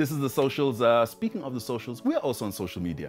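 Faint music plays in the background. Over it, a man talks at a very fast pace. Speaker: talk show host. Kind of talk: interview hosting. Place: studio. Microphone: lapel.

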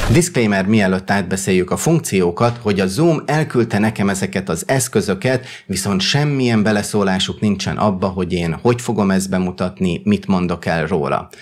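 Speaking at a moderate pace with hardly any pauses, a man uses a fairly low pitch and ordinary pitch variation. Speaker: YouTuber and tech reviewer. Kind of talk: product review.

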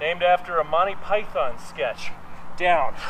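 Light background noise sits behind this recording. A man talks at a fairly slow pace. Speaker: fitness instructor. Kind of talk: guided workout class, cueing yoga flows and reps in real time. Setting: home studio video workout. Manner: a bit out of breath, panting while exerting himself. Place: garden.

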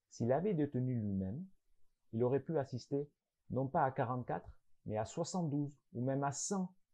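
Against a quiet background, someone is doing plain reading aloud.

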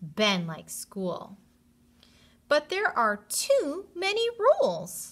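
A woman talks at a very slow pace with a high pitch and a fairly bright tone. Her pitch swings very widely.

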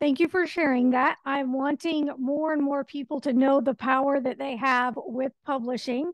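Against a quiet background, a woman with a high pitch talks at a moderate pace with fairly even intonation and hardly any pauses, in dry sound with no echo. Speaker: radio show host. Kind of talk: interview. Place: home room. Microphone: studio mic.

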